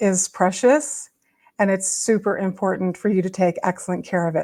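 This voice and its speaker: A plain, everyday voice belongs to a woman speaking at a medium pitch with fairly even intonation. She keeps a moderate pace on a very clean recording with a silent background. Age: 60s. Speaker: spiritual wellness video host. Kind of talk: casual talk to camera. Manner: casual, with fillers and restarts.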